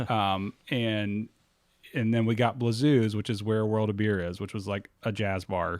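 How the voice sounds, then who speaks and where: This unremarkable speaking voice moves at a fairly slow pace with fairly even intonation, recorded very cleanly against a silent background. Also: man, fairly low pitch for a man. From US South, Pensacola, Florida. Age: 30s. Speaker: nonprofit and downtown executive director. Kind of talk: podcast interview.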